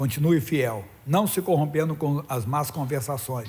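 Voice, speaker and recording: Fairly high in pitch for a man, this is an unremarkable speaking voice at a moderate pace. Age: 60s. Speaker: pastor. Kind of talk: sermon.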